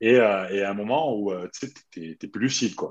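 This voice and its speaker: A man speaks at a fairly slow pace with a medium pitch. The background is quiet. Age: 40s. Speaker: retired handball player. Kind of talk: casual chat.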